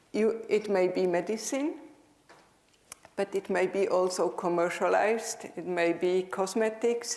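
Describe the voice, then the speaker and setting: A woman with a Swiss German accent speaks at a fairly slow pace, her medium pitch showing ordinary pitch variation. Noticeable background noise is present. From Switzerland (German-speaking). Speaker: dental professor. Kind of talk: conference lecture. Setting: stage with audience.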